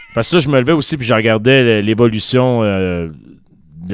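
A normal speaking voice from a man, at a moderate pace with ordinary pitch variation. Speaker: podcast co-host. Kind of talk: casual chat. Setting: studio.

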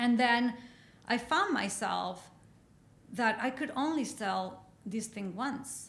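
In a Mexican accent, a woman with a high pitch talks at a very slow pace with long, frequent pauses, and audible room echo fills the space. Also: ordinary pitch variation. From Mexico. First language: Spanish. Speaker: painter. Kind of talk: interview.

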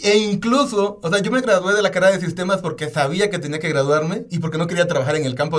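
Speaking very fast with lively intonation, a man talks in a Mexican accent. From Oaxaca, Mexico. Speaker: podcast co-host. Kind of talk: casual chat.

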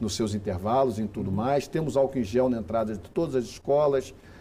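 Pitch varies in an ordinary way through a dark, mellow tone. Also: man. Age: 50s. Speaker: education official. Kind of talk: interview. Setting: studio.

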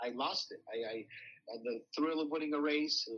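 A man speaks with a fairly high pitch. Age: 40s. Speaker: racehorse owner and bloodstock agent. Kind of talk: interview. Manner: animated.

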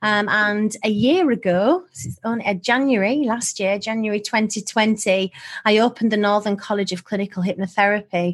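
Bubbly in tone, a woman with a fairly high pitch keeps a moderate pace with hardly any pauses. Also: ordinary pitch variation. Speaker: hypnotherapist and college director. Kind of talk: casual interview chat. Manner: bubbly, positive.

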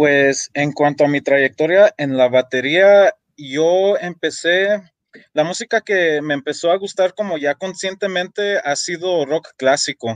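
In an unremarkable speaking voice, a man talks at a fairly slow pace and fairly high pitch with ordinary pitch variation, the sound dry and close with no echo. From United States, Mexican-American. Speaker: metal drummer and songwriter. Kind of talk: casual interview chat.

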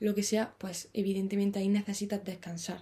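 The woman's tone is dark and mellow, somewhat breathy, at a medium pitch. The recording is very clean with a silent background. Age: 20s. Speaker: podcaster and author. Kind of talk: solo monologue. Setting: parents' bedroom. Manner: halting with fillers.

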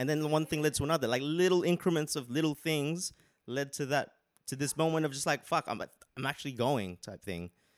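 With an Australian accent, a man talks at a fairly quick pace in a fairly high pitch, recorded very cleanly against a silent background with a dry, close sound and no echo. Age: 30s. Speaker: podcast guest. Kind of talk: casual chat.

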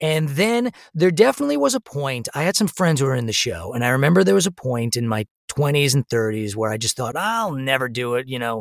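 In an American accent, an unremarkable speaking voice moves at a fairly quick pace with lively intonation, the sound dry and close with no echo. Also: man, medium pitch for a man. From US Northeast, Long Island New York. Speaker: actor and musician. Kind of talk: casual interview. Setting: remote recording.

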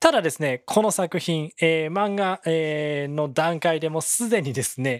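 A very clean recording with a silent background, at a fairly slow pace. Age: 30s. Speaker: podcast host. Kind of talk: casual solo podcast talk.

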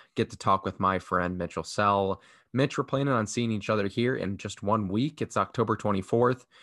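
A man's normal speaking voice, fairly low in pitch, with an American accent and a dry, close sound with no echo. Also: ordinary pitch variation, moderate pace, quiet background. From Chicago, US Midwest. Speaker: podcast host. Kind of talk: casual chat.

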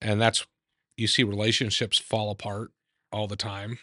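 In an American accent, a man speaks at a fairly slow pace with a fairly low pitch, a bright, sharp tone and monotone, flat intonation, the sound dry and close with no echo against a quiet background. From Idaho. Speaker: trial lawyer. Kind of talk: casual chat. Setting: at his house.

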